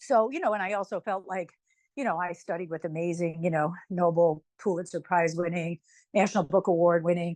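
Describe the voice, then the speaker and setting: Very fast, fairly even speech from a woman with a fairly low pitch, over a quiet background. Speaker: author and writing professor. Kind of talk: interview.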